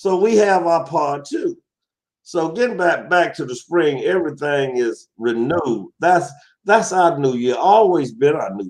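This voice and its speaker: A man in a Southern US accent, high-pitched, with lively intonation and a fairly slow pace. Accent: southern twang. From US South, Alabama. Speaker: talk show guest. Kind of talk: casual interview chat. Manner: halting, many repetitions.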